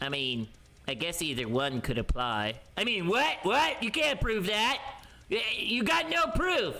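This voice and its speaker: Over light background noise, a man uses a put-on character voice, high-pitched and fairly slow. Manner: casual, brash.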